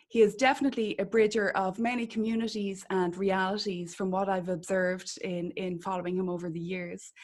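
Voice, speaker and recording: In an Irish accent, a woman at medium pitch talks at a fairly quick pace with hardly any pauses and fairly even intonation. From Ireland. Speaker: podcast host, spiritual healer. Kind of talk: interview conversation.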